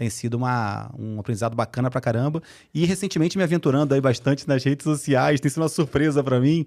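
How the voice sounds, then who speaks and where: Very fast and fairly high-pitched, a man with a Carioca accent speaks with ordinary pitch variation in a very clean recording with a silent background. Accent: Carioca accent, kept. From Brazil, Rio de Janeiro. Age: 40s. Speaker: HR executive. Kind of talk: podcast interview. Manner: animated.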